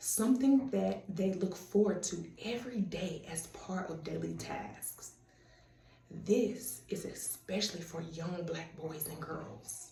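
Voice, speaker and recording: A woman with a Southern US accent speaks very slowly at a medium pitch with lively intonation, amid noticeable background noise and audible room echo. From US South, Tennessee (Murfreesboro, Chattanooga). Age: 30s. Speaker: student. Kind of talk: self-introduction video.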